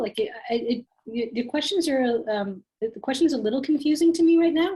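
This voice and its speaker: Her intonation is lively. The woman's tone is dark and mellow. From Canada. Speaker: tax workshop presenter. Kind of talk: Q&A answering questions in workshop.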